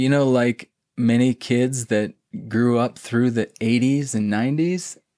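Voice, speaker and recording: In a very clean recording with a silent background, a man speaks with an American accent. He has an ordinary speaking voice, a moderate pace and fairly even intonation. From US Midwest. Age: 40s. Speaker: retired startup worker and adventure blogger. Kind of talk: casual interview chat.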